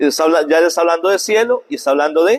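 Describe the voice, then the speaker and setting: A man speaks at a fairly high pitch, recorded dry and close with no echo. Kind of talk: catechesis lecture.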